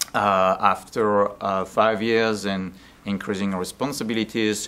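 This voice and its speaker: Noticeable background noise accompanies a man with a French accent. He speaks at a fairly slow pace. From France. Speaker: business development consultant. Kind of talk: interview. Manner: halting, many fillers.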